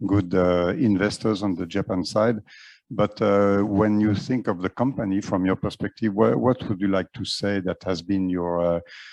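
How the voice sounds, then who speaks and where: With a French accent, this voice speaks at a moderate pace with fairly even intonation, and the sound is dry and close with no echo. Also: man, fairly low pitch for a man. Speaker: panel moderator. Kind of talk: panel discussion. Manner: halting, many fillers.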